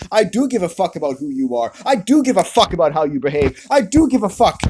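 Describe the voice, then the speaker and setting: A man speaks very fast in a high-pitched voice with very wide pitch swings. Noticeable background noise runs under him. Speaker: online video commentator. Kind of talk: angry monologue rant. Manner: loud, ranting.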